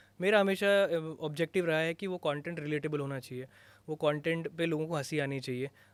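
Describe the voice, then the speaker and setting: At a moderate pace, a man talks in an ordinary speaking voice, fairly high in pitch, with fairly even intonation. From Uttarakhand, Garhwal. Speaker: content creator. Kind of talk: podcast interview. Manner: casual, Hindi-English code-switching.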